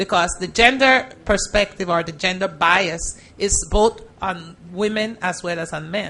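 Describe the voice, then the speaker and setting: A woman speaks at a fairly slow pace with a Caribbean accent, her medium-pitched voice carrying a bright, sharp tone. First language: Spanish. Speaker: judge. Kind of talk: panel Q&A with students.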